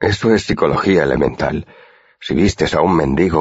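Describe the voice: Lively intonation in plain reading aloud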